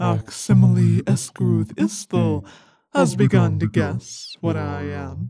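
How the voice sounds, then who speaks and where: A put-on character voice of very deep, low pitch at a fairly slow pace. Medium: audio drama. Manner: calm, serene, unhurried.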